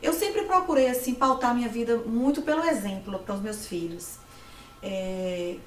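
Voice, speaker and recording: Amid noticeable background noise and audible room echo, a woman with a fairly high pitch speaks at a moderate pace. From Bahia, Brazil (Livramento). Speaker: entrepreneur. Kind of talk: interview. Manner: halting.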